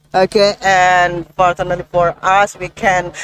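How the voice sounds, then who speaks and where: A woman with an Indonesian accent at a fairly slow pace, in a dry, close sound with no echo. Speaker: podcast host. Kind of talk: interview.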